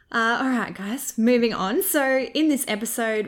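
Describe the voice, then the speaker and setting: With an Australian accent, a woman talks in a fairly high pitch. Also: very clean recording, silent background. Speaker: podcast host. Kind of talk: casual chat.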